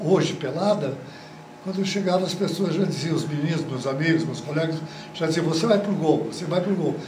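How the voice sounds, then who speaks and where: A man speaks fairly quickly at a high pitch with fairly even intonation. Audible room echo and noticeable background noise fill the recording. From Brazil, Paraná (Marialva). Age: 80s+. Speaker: retired football goalkeeper. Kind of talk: interview. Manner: halting, with repetitions.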